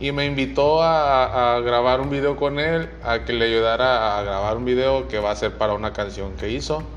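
A man talks fairly slowly, and the room echo is audible. His voice sits at a medium pitch and moves up and down in an ordinary way. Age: 20s. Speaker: podcaster. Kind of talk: casual monologue. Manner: halting.

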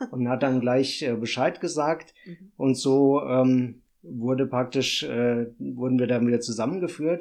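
A man at a medium pitch with ordinary pitch variation, speaking at a fairly slow pace with hardly any pauses. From Hesse, Germany (Runkel near Limburg). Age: 40s. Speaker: municipal finance employee, descendant of expellees. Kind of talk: interview. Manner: halting, many filler sounds.

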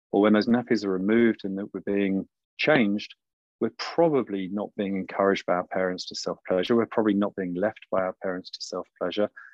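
A man with a southern English accent, fairly low-pitched, with fairly even intonation and a fairly quick pace. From southern England, around London. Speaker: somatic coach and sexologist. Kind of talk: podcast interview.

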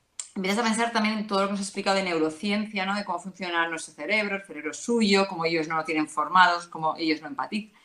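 A woman at medium pitch talking very fast with hardly any pauses, ordinary pitch variation and noticeable background noise. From Madrid, Spain. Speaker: mother giving testimony. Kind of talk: testimony.

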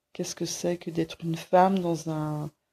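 A woman speaks at a fairly low pitch in a dark, mellow tone. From Brittany, Quimper. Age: 40s. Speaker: interviewee. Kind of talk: personal testimony. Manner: halting, many fillers.

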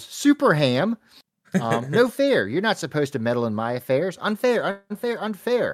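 A man shouts in a whiny, put-on character voice with a whiny tone, high pitch and very wide pitch swings, at a moderate pace with a dry, close sound with no echo. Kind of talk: theatrical. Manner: yelling, whiny, indignant.

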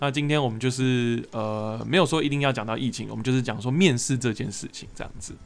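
A man with a Taiwanese accent speaks at a fairly quick pace with hardly any pauses. His pitch is medium with ordinary pitch variation, and his loudness swings widely. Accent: Taiwanese Mandarin. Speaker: podcast host. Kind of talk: casual chat.

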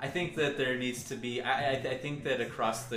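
Noticeable background noise is present. The man's intonation stays fairly even. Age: 30s. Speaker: podcast host guest. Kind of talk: casual chat.

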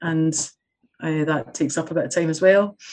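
Here is a woman with a Scottish accent. Her voice sits fairly low. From Scotland. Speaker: community development specialist and lecturer. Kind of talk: casual interview chat.

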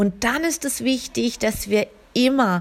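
A warm, gentle tone carries very wide pitch swings at a very slow pace. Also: woman. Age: 40s. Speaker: spiritual healer and podcast host. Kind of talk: spiritual monologue. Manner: warm, gentle address; hesitant fillers.

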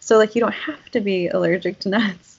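A woman at medium pitch has a plain, everyday voice with ordinary pitch variation. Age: 30s. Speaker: podcast co-host. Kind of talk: casual chat.

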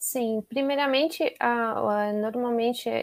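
A woman speaks at a fairly slow pace in a fairly high pitch, a plain, everyday voice. The sound is dry and close with no echo, on a very clean recording with a silent background. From Brazil, Curitiba. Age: 30s. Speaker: nutritionist. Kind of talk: interview.

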